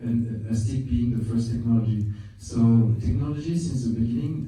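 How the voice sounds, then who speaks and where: A man talks at medium pitch and a moderate pace, with ordinary pitch variation. There is noticeable background noise and audible room echo. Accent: French. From France. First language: French. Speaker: film director. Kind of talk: interview. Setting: film festival. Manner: halting, many repetitions.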